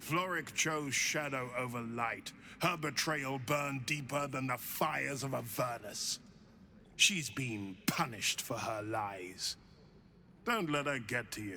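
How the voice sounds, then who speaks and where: A man puts on a character voice at a medium pitch. He speaks fairly slowly over clear background noise. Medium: video game. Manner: fervent, commanding.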